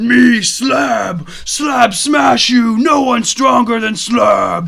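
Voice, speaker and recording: Over light background noise, a man uses a gravelly, put-on character voice with an extremely high pitch, speaking at a very slow pace. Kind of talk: broken, simple speech. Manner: menacing, boastful.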